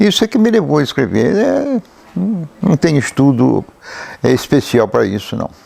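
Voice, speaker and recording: A man with a dark, mellow tone and very wide pitch swings at a moderate pace. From Brazil, Paraty (Rio de Janeiro state coast). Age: 80s+. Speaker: local writer and chronicler. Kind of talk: interview, personal memories. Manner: halting, with hesitations.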